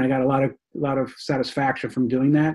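This man has a normal speaking voice, a medium pitch and a moderate pace. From New York, Rockland County. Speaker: novelist. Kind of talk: interview.

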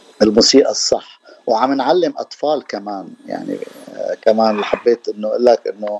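A man's voice at a moderate pace, dry and close with no echo, amid noticeable background noise. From Syria (Damascus). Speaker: percussionist. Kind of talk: radio interview. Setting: radio studio. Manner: halting.

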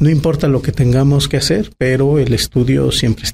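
A dark, mellow, somewhat breathy tone at a fairly quick pace, with ordinary pitch variation. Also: man. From Mexico, Aguascalientes. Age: 30s. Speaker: politician. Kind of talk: interview. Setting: restaurant.

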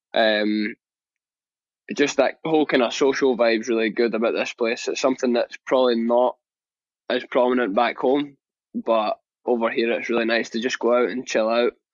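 Long, frequent pauses from a man with a Scottish accent. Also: medium pitch for a man, fairly even intonation, moderate pace. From Scotland. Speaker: professional soccer player. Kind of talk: interview. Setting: live interview.

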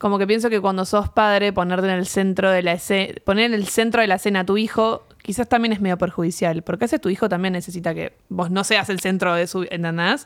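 An unremarkable speaking voice from a woman at medium pitch, fairly quick with hardly any pauses and fairly even intonation. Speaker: podcast co-host, psychologist. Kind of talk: casual chat.

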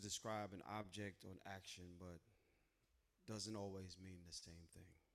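Intense and dramatic, a man delivers his words. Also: big swings in loudness. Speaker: spoken word poet, co-host. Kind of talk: spoken word poetry performance. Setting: open mic night with live audience. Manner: intense, rhythmic, dramatic cadence.

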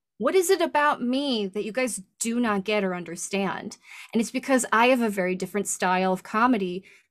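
In a very clean recording with a silent background, a woman with an ordinary speaking voice talks at a moderate pace with lively intonation and a fairly high pitch. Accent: American. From US Midwest, Michigan. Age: 30s. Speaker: stand-up comedian and voice actor. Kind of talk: casual chat.

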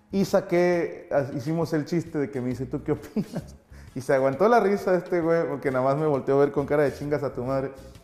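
Over music in the background, a man talks at a fairly quick pace with a fairly high voice and ordinary pitch variation. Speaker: comedian and show host. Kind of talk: casual chat.

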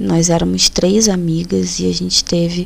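A woman is speaking. Her pace is fairly slow. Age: 30s. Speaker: podcast host. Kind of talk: personal monologue.

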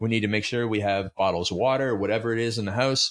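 A man with a Canadian accent has a plain, everyday voice at medium pitch with ordinary pitch variation. He talks at a fairly quick pace against a quiet background. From Canada. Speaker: fitness coach and author. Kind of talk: interview.

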